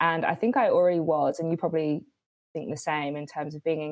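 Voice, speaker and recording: With a British accent, a woman talks at a fairly quick pace in a very deep, low pitch. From London, England. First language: Swahili. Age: 30s. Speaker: writer and director. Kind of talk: casual chat. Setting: video call.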